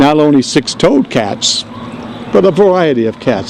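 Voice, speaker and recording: Against noticeable background noise, a man with a New York accent talks in a fairly high voice. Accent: New York (Bronx). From New York, South Bronx. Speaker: navy veteran, speaker at a dedication. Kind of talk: dedication speech.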